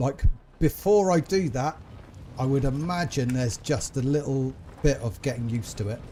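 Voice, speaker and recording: A man speaks with an English accent in a medium pitch. His tone is dark, mellow and somewhat breathy, with lively intonation. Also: moderate pace. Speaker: gaming streamer. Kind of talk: casual gameplay commentary. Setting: live stream.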